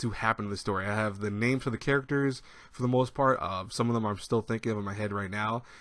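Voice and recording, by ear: The clip is of reading aloud in a natural voice.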